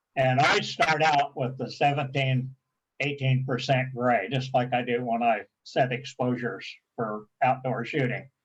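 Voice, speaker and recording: A man speaks at a medium pitch and fairly slow pace, somewhat breathy. His intonation is monotone and flat. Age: 80s+. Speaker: photography club presenter. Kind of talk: tutorial.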